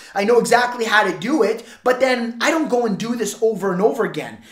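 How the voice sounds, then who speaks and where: A man talks at a very fast pace with an extremely high pitch. Noticeable background noise and audible room echo surround him. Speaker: door-to-door sales trainer. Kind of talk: sales training talk to camera. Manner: halting, repeats words; animated.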